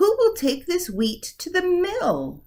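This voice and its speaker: A squeaky put-on character voice sits at an extremely high pitch. It moves at a fairly slow pace. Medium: read story. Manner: firm, brisk.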